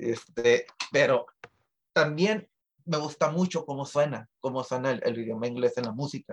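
With an unremarkable speaking voice, a man talks at a moderate pace, his fairly high pitch showing ordinary pitch variation. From Tijuana, Mexico. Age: 30s. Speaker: musician. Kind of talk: interview.

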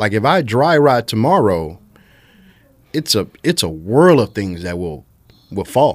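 A fairly low-pitched man with a Louisiana accent, very wide pitch swings, a fairly slow pace and long, frequent pauses. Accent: Louisiana Southern US. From central Louisiana (Marksville). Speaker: IT business owner. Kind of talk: casual chat.

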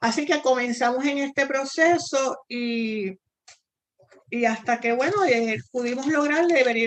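With a high pitch and ordinary pitch variation, a woman speaks at a fairly slow pace. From Puerto Rico. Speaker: missionary. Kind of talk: interview testimony.

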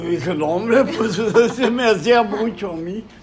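The man goes at a fairly slow pace, his pitch varying in an ordinary way. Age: 80s+. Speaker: grandfather interviewed about his life. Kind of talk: family oral history interview.

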